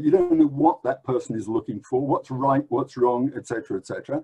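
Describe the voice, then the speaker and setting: The man speaks with an English accent. The sound is dry and close with no echo. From England. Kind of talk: lecture. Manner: hesitant, many filler words.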